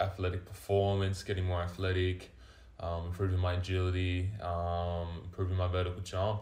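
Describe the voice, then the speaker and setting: Someone with an Australian accent speaks at a moderate pace in a somewhat breathy, monotone, flat voice, with audible room echo. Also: man. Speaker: vertical jump coach. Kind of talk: casual chat.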